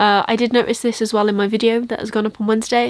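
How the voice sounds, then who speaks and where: Speaking very fast, a woman with an English accent has a fairly high pitch. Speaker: book vlogger. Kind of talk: casual vlog chat.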